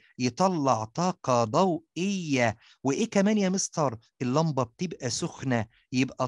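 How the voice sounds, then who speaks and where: A man's fairly high voice at a very slow pace, dry and close with no echo. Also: quiet background. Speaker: science teacher. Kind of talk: tutorial. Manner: animated.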